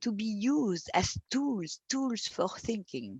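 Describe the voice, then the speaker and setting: With a French accent, a woman speaks at a very slow pace. Her pitch is fairly high. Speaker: philosopher. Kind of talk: interview. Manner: halting.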